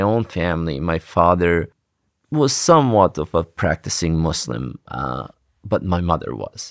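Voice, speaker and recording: A man with a Bosnian accent speaks with very wide pitch swings. The very clean recording has a silent background and a dry, close sound with no echo. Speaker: refugee storyteller. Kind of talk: personal testimony. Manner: halting.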